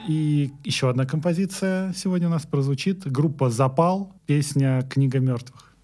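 At a fairly slow pace with hardly any pauses, a man with a fairly high pitch and a dark, mellow, somewhat breathy tone keeps his loudness very even and his pitch variation ordinary. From Moscow region, Russia. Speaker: music journalist and podcast host. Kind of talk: podcast presenting; casual chat.

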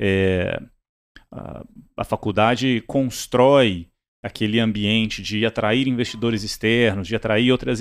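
A man talks at a moderate pace and a medium pitch with fairly even intonation. It is a normal speaking voice. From Brazil, Minas Gerais and Brasília. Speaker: startup CEO. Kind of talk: interview.

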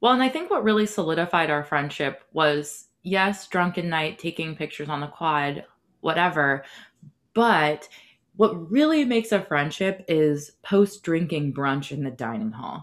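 In an American accent, a woman with an ordinary speaking voice talks at a moderate pace with lively intonation and fairly low pitch, on a very clean recording with a silent background. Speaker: podcast host. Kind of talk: casual interview.

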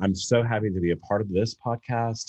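The recording of this somewhat breathy man sounds dry and close, with no echo. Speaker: musical theatre actor. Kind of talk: casual chat. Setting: video call.

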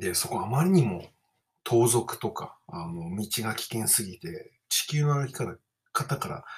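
This man talks at a fairly slow pace, somewhat breathy, with very wide pitch swings and big swings in loudness. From Japan, Kawasaki. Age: 30s. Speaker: podcaster and musician. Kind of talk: casual monologue.

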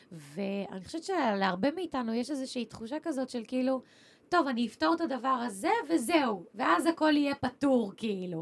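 Her pitch is high, with very wide pitch swings. The woman speaks at a moderate pace over noticeable background noise. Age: 20s. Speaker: podcast host. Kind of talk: casual chat.

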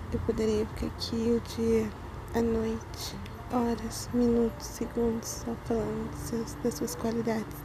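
A woman speaks at a fairly slow pace. The room echo is audible, and there is noticeable background noise. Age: 20s. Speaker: amateur podcaster. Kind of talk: personal love message. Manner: giggly.

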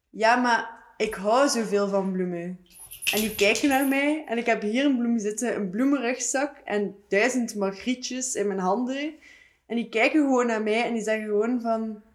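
A woman talks with an ordinary speaking voice, pitched fairly high. Her pace is moderate and her pitch varies in an ordinary way. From Ghent area, Belgium. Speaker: art student and video artist. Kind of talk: casual chat.

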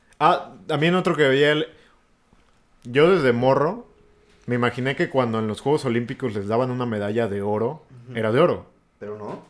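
A man with a Mexican accent speaks at a fairly quick pace in a medium pitch with ordinary pitch variation. He takes long, frequent pauses, and his loudness swings widely. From rural Mexico. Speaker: podcast co-host. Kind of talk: casual chat.

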